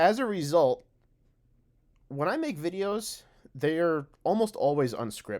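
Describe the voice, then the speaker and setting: A man speaks, and his intonation is lively. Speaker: teacher and video creator. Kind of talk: unscripted video monologue. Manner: frequent filler words and vocal pauses; conversational, unscripted.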